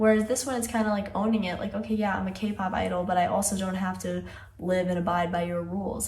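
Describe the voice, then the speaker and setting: Noticeable background noise and audible room echo surround a woman who talks at a very fast pace. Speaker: music video reaction youtuber. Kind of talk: video analysis commentary. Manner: casual, conversational.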